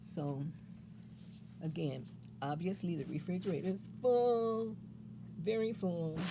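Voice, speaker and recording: Speaking at a fairly slow pace, the woman has a fairly low pitch, a dark, mellow tone with vocal fry, and lively intonation broken by long, frequent pauses. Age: 60s. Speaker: great-grandmother vlogger. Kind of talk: casual talk to camera.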